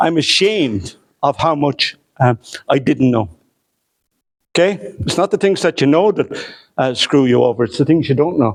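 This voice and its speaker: A man with a southeastern Irish accent and fairly high pitch, at a moderate pace with long, frequent pauses, very wide pitch swings and very even loudness. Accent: southeast Irish. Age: 60s. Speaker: historian. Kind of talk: lecture. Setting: hotel lecture room with audience. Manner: conversational with hesitations.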